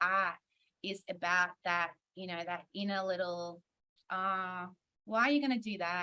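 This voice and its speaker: A woman with an Australian accent has a bright, sharp tone. Her intonation stays fairly even. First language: Hungarian. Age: 30s. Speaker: singer-songwriter and music producer. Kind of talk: conference panel interview.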